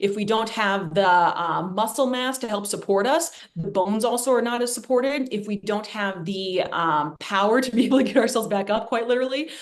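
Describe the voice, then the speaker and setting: Amid noticeable background noise and audible room echo, the speaker talks at a fairly quick pace with ordinary pitch variation. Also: woman, fairly high pitch for a woman. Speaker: physical therapist giving a talk on running injuries. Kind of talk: presentation to a group. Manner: fast.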